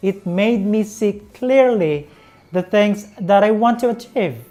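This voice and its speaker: Music plays behind the voice. A woman talks very slowly. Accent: Visayan Filipino. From Philippines, Visayan-speaking region. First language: Visayan (Bisaya). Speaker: English teacher, YouTuber. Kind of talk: tutorial.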